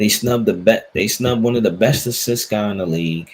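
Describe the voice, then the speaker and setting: A man in a New York accent, fairly low in pitch, with ordinary pitch variation. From New York, the Bronx. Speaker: sports podcast host. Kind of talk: casual chat.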